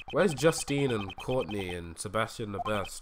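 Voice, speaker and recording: Lively intonation from a man at a moderate pace, amid noticeable background noise. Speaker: gaming streamer. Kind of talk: live game stream commentary. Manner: casual, halting with fillers.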